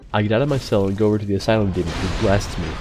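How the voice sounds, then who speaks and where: Someone talks at a very fast pace with music playing in the background. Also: man. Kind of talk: gaming commentary voiceover. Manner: casual, joking.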